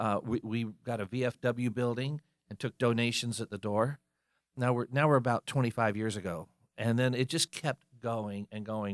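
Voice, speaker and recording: At a moderate pace and medium pitch, a man with an American accent and an unremarkable speaking voice talks with fairly even intonation on a very clean recording with a silent background and a dry, close sound with no echo. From North Carolina, Fayetteville. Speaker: musician and music event organizer. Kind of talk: interview.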